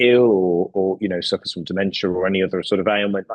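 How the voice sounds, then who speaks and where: A man with a West Midlands accent at a very fast pace. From West Midlands, England. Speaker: care home company CEO. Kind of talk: podcast interview. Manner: hesitant, repeats words.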